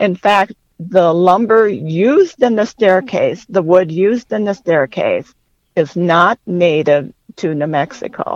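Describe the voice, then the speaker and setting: An ordinary speaking voice with an American accent, fairly slow and lively in intonation, with a dry, close sound and no echo. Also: woman, medium pitch for a woman. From west central Minnesota. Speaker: journalist and author. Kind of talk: interview.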